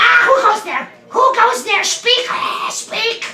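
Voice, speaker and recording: A man shouts in a put-on character voice, his pitch extremely high, at a fairly slow pace. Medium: actual play. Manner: repetitive, excitable.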